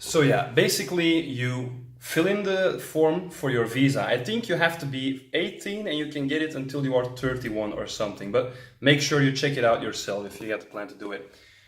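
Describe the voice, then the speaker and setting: A man speaks at a fairly quick pace with a fairly high pitch, lively intonation and big swings in loudness. Audible room echo and noticeable background noise surround him. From Belgium, Antwerp. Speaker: travel vlogger. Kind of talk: vlog monologue.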